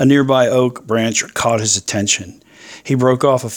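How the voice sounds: The clip has a natural reading voice with fairly even intonation.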